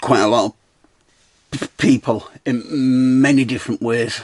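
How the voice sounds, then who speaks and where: A man with a medium pitch speaks in fairly even intonation, the sound dry and close with no echo. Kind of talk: casual talk to camera. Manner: rambling, stuttering.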